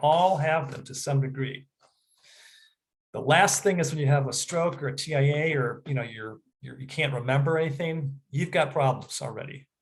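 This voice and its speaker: A fairly quick, somewhat breathy delivery with fairly even intonation and big swings in loudness. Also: man. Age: 60s. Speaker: health practitioner. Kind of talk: educational talk. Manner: casual, halting with filler words.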